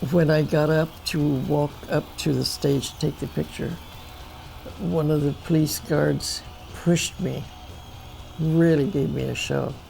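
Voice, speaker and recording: Music plays in the background. A woman with an American accent speaks at a fairly slow pace. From US Midwest, Indiana. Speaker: photographer. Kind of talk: interview storytelling.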